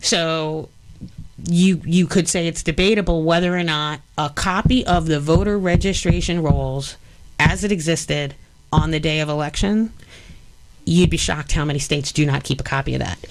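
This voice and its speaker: The speaker has a New York accent. The pitch varies an ordinary amount. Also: woman, very deep, low pitch for a woman, moderate pace. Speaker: election policy expert. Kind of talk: radio interview. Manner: animated.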